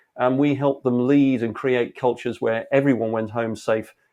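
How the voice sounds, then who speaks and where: An English accent at a moderate pace over a quiet background. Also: man. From England. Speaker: leadership speaker and author. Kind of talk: interview. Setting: home studio.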